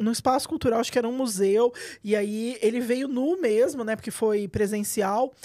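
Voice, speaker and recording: Fairly high female voice in a dark, mellow tone, ordinary pitch variation, very clean recording with a silent background. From Minas Gerais, Brazil (south). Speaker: journalist and writer. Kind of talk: interview. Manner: loud; fast.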